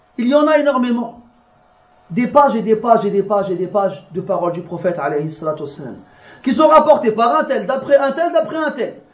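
A man's extremely high voice with very wide pitch swings, a fairly quick pace and long, frequent pauses, in audible room echo. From France. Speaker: Islamic religious teacher. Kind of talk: religious lecture.

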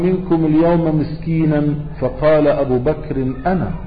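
A man's fairly high voice at a very slow pace, fairly even in intonation, with audible room echo and noticeable background noise. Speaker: Islamic preacher. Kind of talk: religious lecture.

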